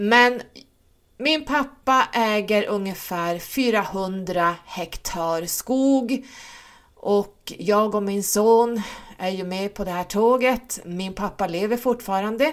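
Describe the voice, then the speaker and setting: The delivery is very slow, with ordinary pitch variation. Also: woman, medium pitch for a woman. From Sweden, Stockholm and Norrland. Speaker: spiritual coach and podcaster. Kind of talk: solo monologue podcast.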